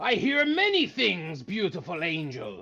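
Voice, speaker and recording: Using a put-on character voice, a man speaks at a high pitch and a moderate pace with very wide pitch swings. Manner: jovial, hearty.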